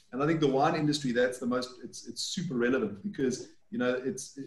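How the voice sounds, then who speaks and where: Against a quiet background with audible room echo, a man talks at a fairly quick pace in a somewhat breathy voice with ordinary pitch variation. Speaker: winemaker; panelist. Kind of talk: panel discussion. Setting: video call. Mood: relaxed, smiling. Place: home room. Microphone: video call.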